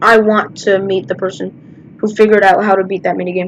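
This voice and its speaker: A woman speaks quietly at a very fast pace, her intonation fairly even. Noticeable background noise can be heard. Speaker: gaming YouTuber. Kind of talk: gameplay commentary.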